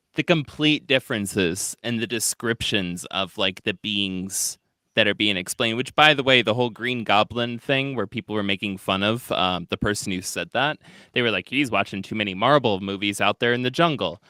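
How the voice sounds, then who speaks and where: A man with a Midwestern accent speaks at a moderate pace in a fairly low pitch with ordinary pitch variation and a bright, sharp tone, recorded very clean with a silent background and a dry, close sound with no echo. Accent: Midwest accent (self-described). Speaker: podcast host. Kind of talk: casual chat. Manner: filler-heavy, hesitant.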